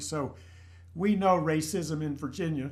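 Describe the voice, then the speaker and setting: Audible room echo carries a man's fairly high voice. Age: 70s. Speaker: church group member. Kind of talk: group discussion.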